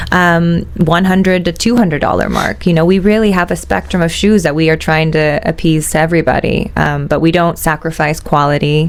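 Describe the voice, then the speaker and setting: A woman's fairly low-pitched voice with very even loudness and fairly even intonation against noticeable background noise. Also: fairly quick pace, hardly any pauses. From USA. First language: Italian. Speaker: business heir, shoe company executive. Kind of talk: interview. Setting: studio. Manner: hesitant, many fillers.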